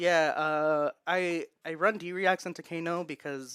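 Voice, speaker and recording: A man with a Spanish accent, in a dry, close sound with no echo, on a very clean recording with a silent background. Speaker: card game player. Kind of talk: post-match interview. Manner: halting.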